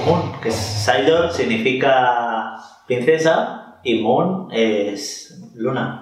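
A man speaks at a medium pitch with lively intonation and a very slow pace. Audible room echo surrounds the voice. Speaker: podcast co-host. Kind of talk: casual chat. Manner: animated.

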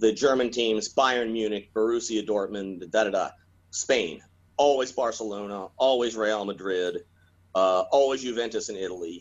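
Speaking in an ordinary speaking voice, a man keeps a moderate pace and medium pitch, his pitch varying in an ordinary way. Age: 60s. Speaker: board game hobbyist and historian. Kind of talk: interview.

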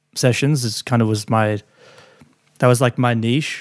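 In an Australian accent, a man talks at a moderate pace and medium pitch with fairly even intonation, the sound dry and close with no echo. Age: 30s. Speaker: recording and mix engineer. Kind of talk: interview.

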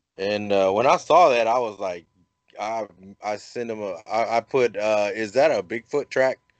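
A man with an American accent and an unremarkable speaking voice talks at a moderate pace with medium pitch and ordinary variation, in a dry, close sound with no echo. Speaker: podcast host. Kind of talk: casual chat. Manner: jokey, humorous.

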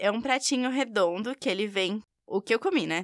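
On a very clean recording with a silent background, a woman with a São Paulo accent speaks in a fairly high pitch with ordinary pitch variation. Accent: São Bernardo accent, noticeable. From São Bernardo, São Paulo state, Brazil. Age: 20s. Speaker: university student. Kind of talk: recorded interview.

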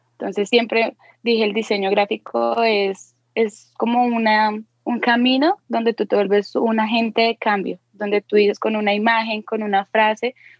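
This woman's voice sits at a fairly high pitch. Her intonation is monotone and flat. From Colombia. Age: 20s. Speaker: tattoo artist. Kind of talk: interview chat.

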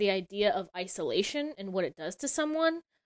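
In a dry, close recording with no echo, a woman with an ordinary speaking voice and a fairly high pitch talks at a moderate pace with lively intonation. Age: 30s. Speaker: storyboard artist and animation director. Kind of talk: interview.

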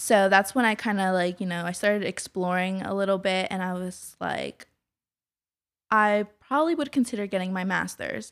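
A woman with an American accent speaks at a moderate pace in an ordinary speaking voice, her medium pitch showing ordinary pitch variation, on a very clean recording with a silent background. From Kennett Square, Pennsylvania, Mexican family. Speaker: business consultant. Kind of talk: casual interview.

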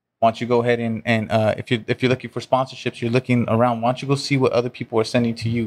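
Very fast, monotone speech from a man with an American accent and flat intonation, in a very clean, dry, close recording with no echo and a silent background. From Orange County and Inland Empire, California. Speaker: convention organizer and sales professional. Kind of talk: casual interview chat.

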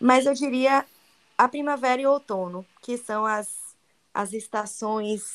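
The speaker talks at a very slow pace with a Bahian accent. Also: woman. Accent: Bahian Brazilian Portuguese. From Bahia, Brazil. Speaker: travel guide and digital influencer. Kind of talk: interview. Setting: podcast.

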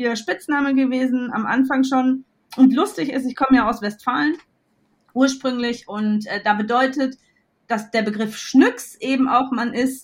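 A woman speaks with a high pitch. Her pace is fairly slow, and her pitch varies in an ordinary way. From Westphalia, Germany. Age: 40s. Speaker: entrepreneur. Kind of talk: interview. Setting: at home with her dog. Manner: animated.

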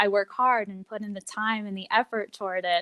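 With a General American accent, a woman speaks at a medium pitch and a moderate pace in an unremarkable speaking voice, the sound dry and close with no echo. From Colorado (Longmont). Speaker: news reporter. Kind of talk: interview.

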